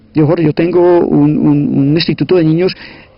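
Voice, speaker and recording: A man is speaking. His pace is moderate. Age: 60s. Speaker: sociologist and teacher, former guerrilla. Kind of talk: interview. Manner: hesitant, repeats words.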